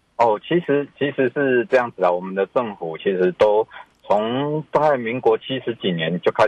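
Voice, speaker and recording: Lively intonation marks a man's medium-pitched delivery, an unremarkable speaking voice. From Taiwan, rural Tainan. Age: young. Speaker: civil engineering professor. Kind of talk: radio interview.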